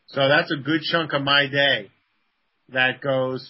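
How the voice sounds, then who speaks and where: A man's medium-pitched, flat, monotone delivery with a New York accent. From the Bronx, New York. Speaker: game company co-founder. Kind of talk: casual interview.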